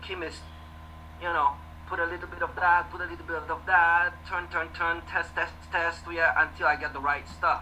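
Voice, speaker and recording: Someone with a French accent speaks at a moderate pace over noticeable background noise. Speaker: costume builder and club member. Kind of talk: casual panel chat. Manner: halting, many repeated words.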